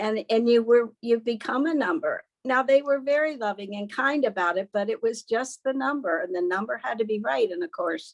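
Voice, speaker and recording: A woman speaks at a moderate pace with hardly any pauses, her pitch fairly high and her intonation lively. The sound is dry and close, with no echo. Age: 60s. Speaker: patient sharing testimonial. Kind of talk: interview. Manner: halting.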